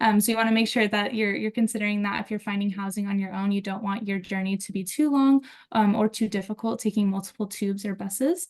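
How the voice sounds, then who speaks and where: A somewhat breathy woman's voice with an American accent, fairly high in pitch and fairly quick, against a quiet background. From United States. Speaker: university student affairs staff. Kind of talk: webinar presentation.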